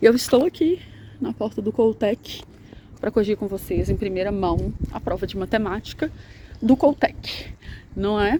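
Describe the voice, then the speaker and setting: Soft-spoken, a woman talks at a moderate pace with ordinary pitch variation. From Brazil, Minas Gerais. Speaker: math teacher. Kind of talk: casual vlog; sales pitch. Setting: outdoors.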